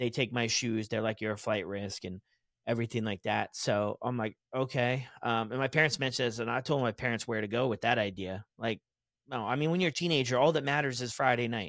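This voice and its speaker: Delivered fairly quickly in an animated tone with ordinary pitch variation, the speech has a dry, close sound with no echo on a very clean recording with a silent background. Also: man, medium pitch for a man. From Texas. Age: 30s. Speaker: recovery podcaster. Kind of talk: casual interview, personal story.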